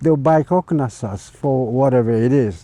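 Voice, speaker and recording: A man speaks at a medium pitch. His tone is dark and mellow. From Saipan, Northern Mariana Islands. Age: 80s+. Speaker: community elder. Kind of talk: oral history interview. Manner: halting.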